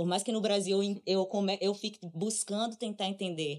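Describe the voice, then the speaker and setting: A woman with an ordinary speaking voice, a medium pitch and ordinary pitch variation. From Brazil. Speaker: interdisciplinary artist and drummer. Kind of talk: casual chat.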